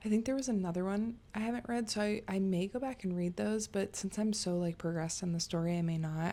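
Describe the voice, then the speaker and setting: Soft-spoken, a woman talks at a fairly quick pace with a medium pitch. Her tone is dark and mellow, and her intonation is fairly even. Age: 30s. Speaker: book youtuber. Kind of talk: casual chat. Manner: rambling, chatty.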